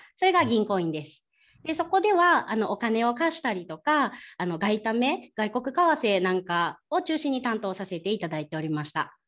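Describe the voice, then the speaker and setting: The speaker talks with a Kyoto accent and very wide pitch swings. The background is quiet. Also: woman, fairly high pitch for a woman, moderate pace. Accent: Kyoto dialect (Kansai). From Kyoto, Japan. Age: 30s. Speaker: ryokan young proprietress. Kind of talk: presentation with slides.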